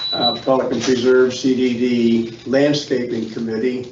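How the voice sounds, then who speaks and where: Speaking at a medium pitch, a man keeps a monotone, flat intonation at a fairly slow pace. Noticeable background noise and audible room echo are present. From Philadelphia, US. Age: 80s+. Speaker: committee applicant, retired engineer. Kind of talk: public meeting statement. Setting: meeting room with microphones.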